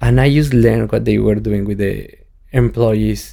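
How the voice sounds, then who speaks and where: A man talks with a Mexican accent. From Mexico. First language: Spanish. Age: 30s. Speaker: tequila brand ambassador. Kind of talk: casual interview chat.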